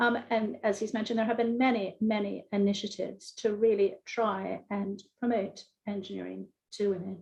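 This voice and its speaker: A woman with an American accent speaks at a moderate pace, her voice somewhat breathy and medium in pitch. Her intonation is monotone and flat. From US, Philadelphia. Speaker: engineering professor. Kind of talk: panel discussion. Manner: hesitant, many fillers.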